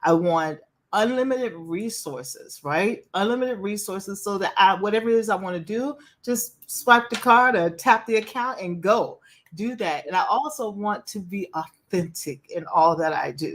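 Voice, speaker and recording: Speaking in an American accent, a woman uses a medium pitch at a moderate pace. Her intonation is lively and her tone animated. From US South. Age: 60s. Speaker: empowerment speaker and life coach. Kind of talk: interview.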